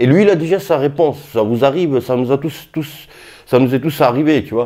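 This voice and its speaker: A man talks at a moderate pace and a medium pitch. His tone is dark and mellow. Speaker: boxing youtuber. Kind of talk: casual vlog commentary. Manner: halting, many fillers.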